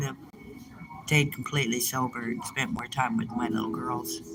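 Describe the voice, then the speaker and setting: A woman's very deep, low voice at a moderate pace, with audible room echo and music in the background. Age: 60s. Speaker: livestreamer reading chat. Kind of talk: casual live stream chat. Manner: halting.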